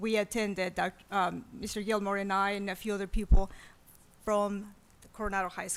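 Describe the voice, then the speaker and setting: This woman's voice sits at a medium pitch. She speaks at a moderate pace. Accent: Spanish. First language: Spanish. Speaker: school administrator. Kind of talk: presentation at a board meeting. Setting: school board meeting.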